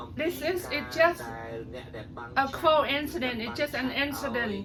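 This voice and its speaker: A woman with a Cambodian accent projects her high-pitched voice with ordinary pitch variation over noticeable background noise. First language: Khmer. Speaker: political commentator on social media. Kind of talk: casual political commentary video. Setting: at home. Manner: hesitant, many fillers.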